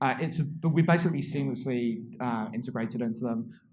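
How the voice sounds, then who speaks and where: Audible room echo surrounds the voice. A man speaks with ordinary pitch variation. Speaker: tech company speaker. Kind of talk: conference talk. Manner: fast.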